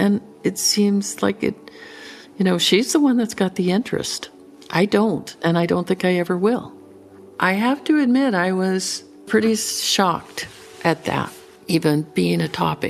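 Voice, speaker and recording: Over music in the background, a woman speaks at a fairly slow pace with a medium pitch, ordinary pitch variation, very even loudness and long, frequent pauses. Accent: American. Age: 60s. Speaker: rancher. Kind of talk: interview answer.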